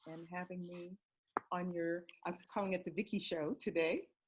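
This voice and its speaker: Somewhat breathy speech from a woman with an American accent. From Southern California. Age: 60s. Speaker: direct sales consultant. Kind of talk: interview.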